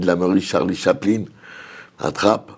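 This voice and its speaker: A man's voice with fairly even intonation. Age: 60s. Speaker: community activist, former youth worker. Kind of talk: TV studio discussion.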